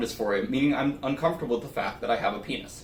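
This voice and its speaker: A man's very fast speech at a fairly high pitch, with audible room echo and noticeable background noise. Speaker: nonbinary YouTuber. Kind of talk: personal vlog monologue.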